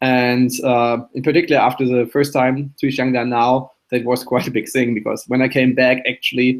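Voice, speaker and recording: Speaking with a German accent, a man holds a medium pitch in a monotone, flat delivery. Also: moderate pace, hardly any pauses. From Germany. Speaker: memory athlete and show co-host. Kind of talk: casual interview chat.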